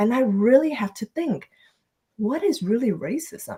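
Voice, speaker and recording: In a Vietnamese accent, a woman talks at a moderate pace with a high pitch. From Vietnam, moved to Minnesota at twelve. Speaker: author and speaker. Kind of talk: podcast interview, personal story. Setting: live video stream.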